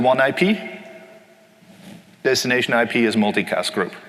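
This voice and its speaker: Lively intonation from a man at medium pitch, with noticeable background noise. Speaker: conference technical presenter. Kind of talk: technical lecture. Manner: fast.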